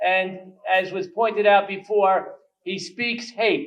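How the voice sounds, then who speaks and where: This man speaks with a New York accent and a high pitch. His intonation is fairly even. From New York, Queens. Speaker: state legislator. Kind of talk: speech.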